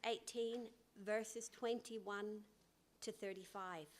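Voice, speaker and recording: A woman speaks with an Irish accent at a fairly high pitch. Her pace is fairly slow. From Northern Ireland. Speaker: guest preacher. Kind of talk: sermon. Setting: church. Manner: hesitant, with fillers.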